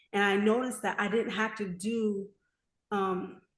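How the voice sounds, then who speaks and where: A woman with medium pitch and fairly even intonation speaks in a somewhat breathy voice. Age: 30s. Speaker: author and mental health advocate. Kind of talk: interview, personal testimony.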